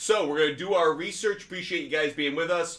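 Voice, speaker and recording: A man speaks loudly in a fairly high voice. His tone is bright and sharp. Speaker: sports betting show host. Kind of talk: live stream sports talk. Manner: loud, projecting.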